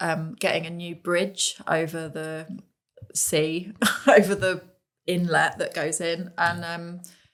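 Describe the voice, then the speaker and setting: Speaking very slowly in a Suffolk accent, a woman keeps a fairly low, monotone, flat delivery while her loudness swings widely. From Suffolk, East Anglia, England. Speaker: events content director. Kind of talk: casual chat.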